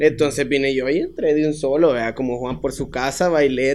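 A man's fairly high voice with a Salvadoran accent, fairly quick pace and fairly even intonation. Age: 20s. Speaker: dancer and choreographer. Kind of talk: casual chat.

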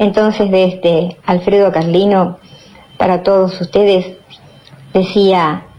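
A woman of medium pitch at a very slow pace, with noticeable background noise. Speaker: radio host and poetry reader. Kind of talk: poetry reading, spoken word with a solemn, declamatory delivery after a casual intro. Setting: radio show.

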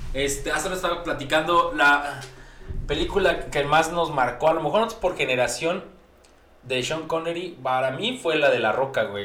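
Lively intonation carries this moderately paced speech over noticeable background noise and audible room echo. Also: man, fairly high pitch for a man. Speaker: podcast co-host. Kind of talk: casual chat. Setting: studio.

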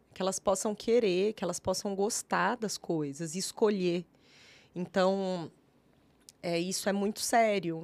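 On a very clean recording with a silent background, a woman at a medium pitch talks at a fairly slow pace. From Brazil, Triângulo Mineiro (Minas Gerais). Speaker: social worker. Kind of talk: interview conversation. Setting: studio, live stream.

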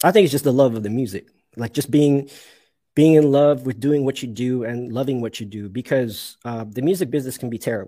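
Speaking with a Canadian accent, a man has a dark, mellow tone, a medium pitch and ordinary pitch variation. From Canada, Toronto area. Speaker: session horn player. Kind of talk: interview conversation. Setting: live stream.

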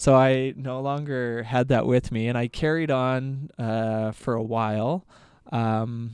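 On a very clean recording with a silent background, a man with a normal speaking voice talks at a medium pitch with fairly even intonation. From Alberta, Canada. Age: 30s. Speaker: doctor and ultramarathon runner. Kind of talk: casual interview.

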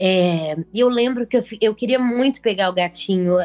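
This woman has an unremarkable speaking voice with ordinary pitch variation. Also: dry, close sound with no echo. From Brazil, Belo Horizonte. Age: 20s. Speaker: journalism student and painter. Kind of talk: casual chat.

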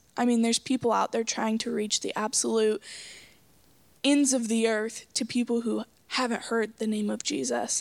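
A woman in an American accent uses a normal speaking voice at a moderate pace and fairly high pitch, her intonation fairly even. The recording is very clean, dry and close with no echo and a silent background. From Oklahoma, Coweta. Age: young. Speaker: missionary. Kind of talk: casual interview.

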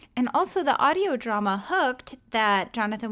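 This woman has a plain, everyday voice with a fairly high pitch. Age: 40s. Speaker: podcast host. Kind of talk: solo podcast outro; casual interview chat.

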